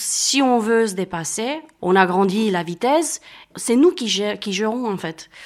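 The woman's voice is fairly high in pitch, with lively intonation. She speaks at a very slow pace. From Romania. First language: Romanian (speaking French). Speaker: sport walker. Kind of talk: casual interview. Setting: at home, living room.

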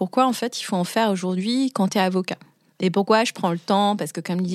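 Recorded very cleanly against a silent background, with a dry, close sound and no echo, a woman speaks at a fairly quick pace in a medium pitch with ordinary pitch variation. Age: 30s. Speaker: business lawyer. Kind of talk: interview. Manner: hesitant, many fillers.

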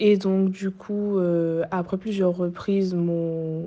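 In a Guadeloupean accent, a woman speaks with a dark, mellow tone at a fairly low pitch, her intonation monotone and flat. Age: 20s. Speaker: student. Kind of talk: testimony.

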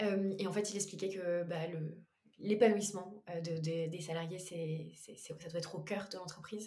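Speaking in a fairly low register, a woman keeps her intonation monotone and flat. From western France, Anjou. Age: 20s. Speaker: entrepreneur. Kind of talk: casual chat.

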